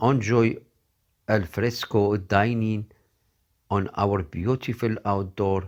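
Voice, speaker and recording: A man speaks at a very slow pace with a fairly low pitch. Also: very clean recording, silent background. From North Africa. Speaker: voice actor. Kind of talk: TV commercial read. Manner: upbeat, friendly.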